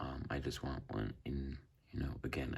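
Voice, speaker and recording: The delivery is very slow. The voice is somewhat breathy. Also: man. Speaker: banknote collector. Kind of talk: casual talk to camera.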